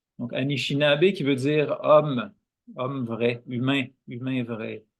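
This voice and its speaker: Speaking in a Quebec accent at a very slow pace, a man keeps a medium pitch and fairly even intonation. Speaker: guest, dance practitioner and Algonquin culture speaker. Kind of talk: interview conversation.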